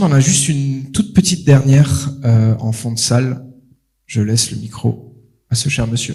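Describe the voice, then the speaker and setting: The voice has a dark, mellow tone and ordinary pitch variation. It moves at a fairly slow pace. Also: man. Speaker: event host. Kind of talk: event moderation. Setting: stage with audience, livestreamed. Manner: loud, carrying voice.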